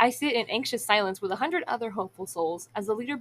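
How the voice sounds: Here a natural reading voice is heard.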